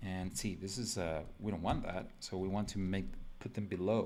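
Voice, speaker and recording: In a Spanish accent, a man talks at a fairly slow pace with a fairly low pitch and ordinary pitch variation. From Mexico. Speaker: designer streaming live; designer demonstrating software. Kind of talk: live drawing tutorial. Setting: live stream from home computer. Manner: casual, filler-heavy. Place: home room.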